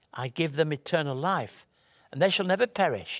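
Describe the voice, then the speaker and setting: A plain, everyday voice, a man's, sits fairly high with lively intonation on a very clean recording with a silent background. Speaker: minister. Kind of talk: sermon.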